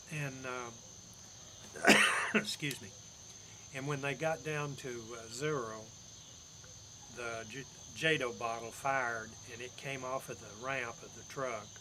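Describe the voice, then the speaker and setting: Here a man talks at a fairly slow pace. His tone is bright and sharp. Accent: East Tennessee. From Campbell County, Tennessee. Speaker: Air Force veteran. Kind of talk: oral history, casual talk to camera.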